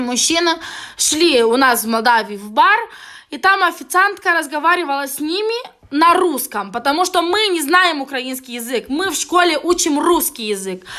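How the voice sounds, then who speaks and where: A raised, projected voice at a moderate pace, with very wide pitch swings. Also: woman, high pitch for a woman. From Moldova. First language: Romanian (Moldovan) (speaking Russian). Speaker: vlogger. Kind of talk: angry video rant. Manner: halting; heated.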